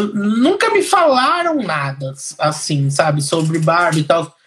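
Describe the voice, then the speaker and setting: This man speaks with lively intonation. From Brazil, Piracicaba, interior of São Paulo. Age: 30s. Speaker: engineer. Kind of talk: casual interview.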